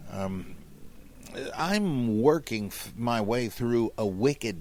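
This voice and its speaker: A very clean recording, silent in the background, carrying lively intonation. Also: man. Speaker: podcast host, biblical scholar. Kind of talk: podcast talk, reading listener questions. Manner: humorous, casual.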